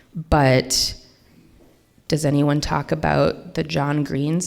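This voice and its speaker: A woman with a very deep, low pitch speaks with an American accent. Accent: can switch Minnesota accent on and off. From US Midwest, Minnesota. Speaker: literary translator and editor. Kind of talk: lecture. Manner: casual, many fillers.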